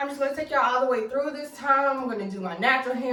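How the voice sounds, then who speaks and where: A woman's high voice at a very fast pace, with audible room echo and noticeable background noise. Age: 20s. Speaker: beauty YouTuber. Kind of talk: tutorial. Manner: casual, animated.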